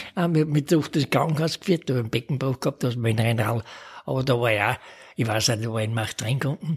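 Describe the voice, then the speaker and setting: Very fast and somewhat breathy, a man's voice runs on. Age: 80s+. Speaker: retired amateur cyclist. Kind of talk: interview. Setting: home kitchen.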